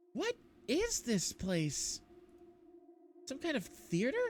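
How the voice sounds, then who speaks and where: A put-on character voice, high in pitch, swings very widely up and down while moving at a very slow pace. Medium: solo performance. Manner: anxious, wondering.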